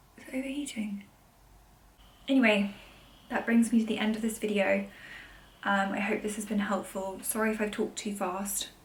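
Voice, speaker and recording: Audible room echo surrounds a woman speaking at a fairly high pitch with fairly even intonation. Her loudness swings widely, and she leaves long, frequent pauses. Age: 30s. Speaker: vlogger. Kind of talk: casual chat. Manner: fast.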